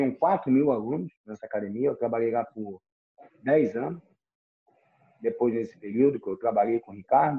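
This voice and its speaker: This is a man speaking. His intonation is lively. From Rio de Janeiro, Brazil. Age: 50s. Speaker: nightlife and events executive. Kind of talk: podcast interview.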